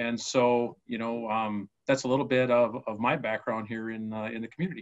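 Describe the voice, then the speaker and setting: Over a quiet background, a man with a medium pitch speaks in an Upper Midwest accent, his intonation fairly even. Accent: Upper Midwest American. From Minnesota, US. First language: Spanish. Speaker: mayoral candidate, business owner. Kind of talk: interview.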